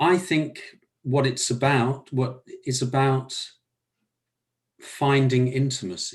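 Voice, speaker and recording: A man with a southern English accent at medium pitch, somewhat breathy, with fairly even intonation, very even loudness, a very slow pace and long, frequent pauses. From southern England. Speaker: workshop participant. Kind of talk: group discussion.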